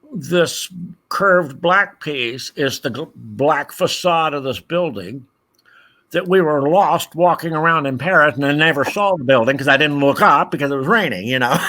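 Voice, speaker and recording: In a very clean recording with a silent background, a man with a bright, sharp tone and fairly high pitch speaks at a moderate pace with ordinary pitch variation. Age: 60s. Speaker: puppet designer and Lego builder. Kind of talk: casual chat.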